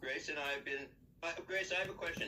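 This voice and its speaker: Behind a man's high-pitched voice there is noticeable background noise. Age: 60s. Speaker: filmmaker and stream guest. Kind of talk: casual chat.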